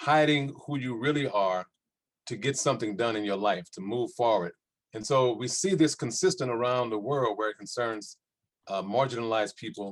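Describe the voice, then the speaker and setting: A man speaks with an American accent in an ordinary speaking voice. His pitch is medium with ordinary variation, at a moderate pace. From US South, New Orleans, Louisiana. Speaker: panelist on culture and resistance. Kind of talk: panel discussion.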